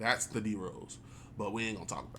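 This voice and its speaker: Amid audible room echo, a man with an American accent speaks at a fairly low pitch with fairly even intonation. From Chicago. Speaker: gaming YouTuber. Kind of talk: casual gameplay commentary.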